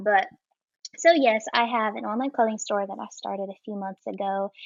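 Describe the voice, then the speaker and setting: With a Southern US accent, the speaker shows big swings in loudness. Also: woman. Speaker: modest fashion blogger and small business owner. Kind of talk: interview answer. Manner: genuine, personable.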